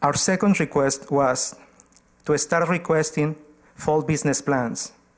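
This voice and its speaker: With a non-native accent, a man talks at a fairly slow pace in a fairly high pitch, his loudness very even and his intonation fairly even. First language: not English. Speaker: community organization presenter to council. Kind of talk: formal presentation at council meeting.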